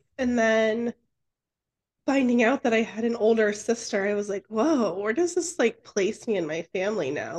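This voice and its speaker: The sound is dry and close with no echo as a woman with a normal speaking voice talks at a fairly high pitch, her intonation lively. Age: 30s. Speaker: podcast co-host. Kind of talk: casual interview.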